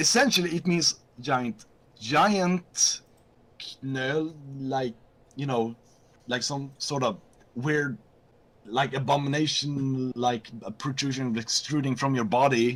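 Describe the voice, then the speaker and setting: With a Swedish accent, a man speaks at a very slow pace and medium pitch, using ordinary pitch variation and long, frequent pauses. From Sweden. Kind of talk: casual chat on a live stream.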